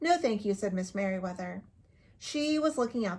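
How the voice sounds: Lively intonation in a natural reading voice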